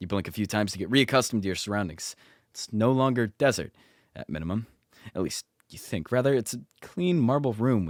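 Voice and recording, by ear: This is reading aloud in a natural voice. The background is quiet.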